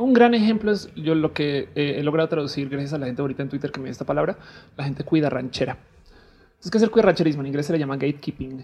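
Her very deep, low voice moving at a very fast pace, a woman speaks with lively intonation. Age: 30s. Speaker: comedy podcast guest. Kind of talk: casual chat.

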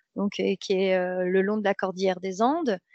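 This woman has an unremarkable speaking voice, medium in pitch, delivered at a moderate pace with fairly even intonation. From France, Seine-et-Marne (Paris region). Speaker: dancer and traveller. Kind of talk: casual interview.

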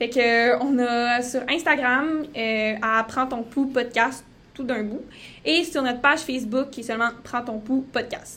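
In a Saguenay accent, a woman speaks at a fairly slow pace. Her high pitch shows ordinary variation. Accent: Québécois French (Saguenay). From Quebec, Saguenay-Lac-Saint-Jean. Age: 19. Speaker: podcast co-host, medical student. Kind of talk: casual podcast introduction.

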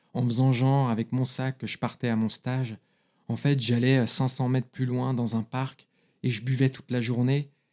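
At a fairly slow pace, a man speaks in a dark, mellow tone at medium pitch with monotone, flat intonation, the sound dry and close with no echo. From France, Paris, early years in London. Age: 30s. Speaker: recovered alcoholic. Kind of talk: testimony.

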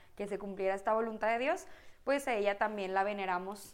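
Her voice is a plain, everyday voice, pitched at a medium level. The woman's pitch variation is ordinary. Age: 20s. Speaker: physiotherapist and church volunteer. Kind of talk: casual chat.

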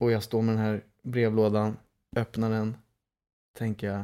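With a dark, mellow tone, a man talks at a fairly low pitch. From Stockholm, Sweden (Lidingö). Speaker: podcast co-host, actor. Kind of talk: casual chat.

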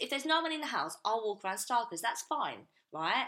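A woman speaks with a fairly high pitch and a bright, sharp tone. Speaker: podcast co-host. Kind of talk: casual chat. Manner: fast talker.

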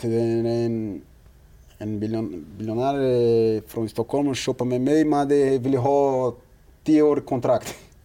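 A man speaks at a medium pitch with a dark, mellow tone and ordinary pitch variation. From Brazil. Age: 30s. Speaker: professional footballer. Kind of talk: interview. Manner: halting.

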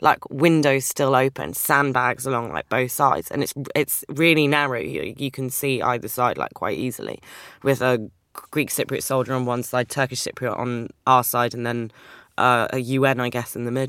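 A woman with a London accent and a very deep, low pitch, ordinary pitch variation and a moderate pace. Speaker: writer and poet. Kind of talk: casual interview.

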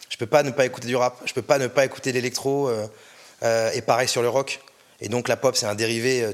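Moderate pace and medium pitch from a man. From France, Orléans. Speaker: music label director. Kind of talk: interview. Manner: casual, hesitant with fillers.

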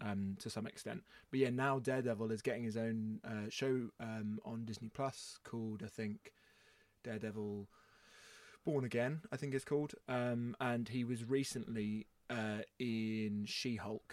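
Very cleanly recorded over a silent background, a man with a plain, everyday voice speaks at medium pitch and a moderate pace with fairly even intonation. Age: 20s. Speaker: podcast host. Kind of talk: casual chat.

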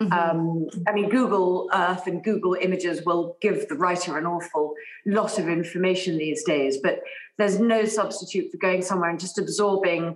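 Medium-pitched female voice at a moderate pace, fairly even in intonation, amid noticeable background noise. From England. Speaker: novelist. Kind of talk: casual chat.

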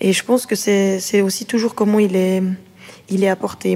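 A woman with a plain, everyday voice speaks at a moderate pace and medium pitch, with fairly even intonation. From Switzerland, Neuchâtel area. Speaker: boxer. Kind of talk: interview.

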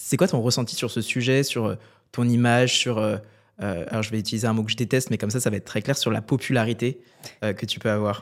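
In a plain, everyday voice, the speaker goes at a fairly quick pace with fairly even intonation over a very clean recording and silent background. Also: man, medium pitch for a man. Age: 20s. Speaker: podcast host. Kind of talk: casual interview.

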